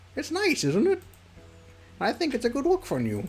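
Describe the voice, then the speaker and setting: A put-on character voice moves at a moderate pace. Faint music plays in the background. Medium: game stream. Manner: relaxed, friendly.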